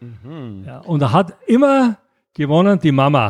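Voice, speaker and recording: In a very clean recording with a silent background, a man with a fairly high pitch speaks very slowly, his voice making very wide pitch swings. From Austria, Graz. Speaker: board game publisher. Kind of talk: casual interview. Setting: Mallorca. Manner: halting, many fillers.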